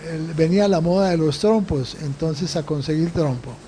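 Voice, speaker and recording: Over noticeable background noise, a man with a high pitch and ordinary pitch variation talks at a fairly slow pace. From Colombia, Bogotá. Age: 90s. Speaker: Jesuit priest, interviewee. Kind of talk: interview. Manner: halting, many fillers and repetitions.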